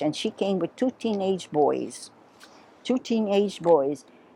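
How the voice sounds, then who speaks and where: A dark, mellow tone with very wide pitch swings. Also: woman. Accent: Hawaiian. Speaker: Portuguese-American heritage storyteller. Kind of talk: oral history interview. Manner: conversational.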